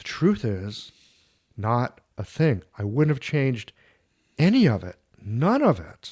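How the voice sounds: A man speaks slowly at a medium pitch, with big pitch swings. His tone is slightly mellow with a slightly husky edge.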